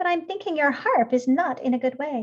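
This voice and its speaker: A woman speaks at a fairly quick pace in a put-on character voice pitched high. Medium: read story. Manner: lively, sharp.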